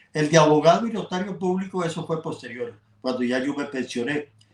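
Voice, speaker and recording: A man with a Costa Rican accent speaks at a fairly high pitch. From Costa Rica, Atenas. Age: 80s+. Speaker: journalist and sports broadcaster. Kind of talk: interview. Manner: halting.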